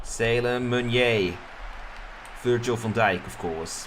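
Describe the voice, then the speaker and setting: Someone with a Dutch accent speaks amid audible room echo and crowd noise in the background. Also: man. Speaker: streamer and game commentator. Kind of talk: live commentary. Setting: live stream.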